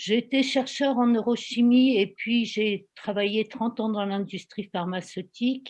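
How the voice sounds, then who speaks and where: Against a quiet background, a woman with a normal speaking voice talks at a fairly slow pace, her fairly high pitch showing ordinary pitch variation. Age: 60s. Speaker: volunteer giving testimony. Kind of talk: testimony.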